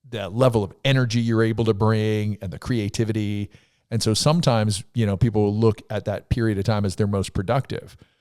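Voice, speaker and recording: This man has an unremarkable speaking voice, fairly low in pitch, with fairly even intonation. He talks at a fairly quick pace on a very clean recording with a silent background. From US Northeast. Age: 60s. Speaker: podcast host. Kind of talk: casual chat.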